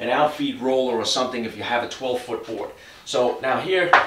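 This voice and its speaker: A fairly quick pace and ordinary pitch variation, with audible room echo. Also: man. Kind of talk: tutorial. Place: garage.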